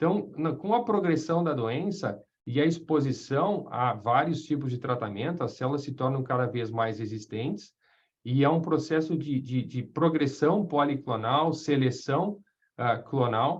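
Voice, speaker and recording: A somewhat breathy man's voice, fairly high in pitch, at a fairly slow pace with ordinary pitch variation. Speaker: radiation oncologist lecturer. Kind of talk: lecture. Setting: webinar video call. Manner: halting, many fillers; informal.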